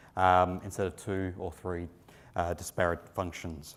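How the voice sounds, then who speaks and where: On a very clean recording with a silent background, a man with an Australian accent speaks fairly quickly in a very deep, low voice. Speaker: company executive presenting at industry conference. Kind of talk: conference presentation. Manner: frequent filler words (um, uh).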